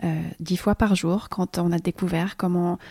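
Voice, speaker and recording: In a very clean recording with a silent background, a woman talks at a fairly slow pace in a fairly low, dark, mellow voice. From Switzerland. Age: 30s. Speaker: permaculture farmer. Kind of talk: casual chat. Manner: halting.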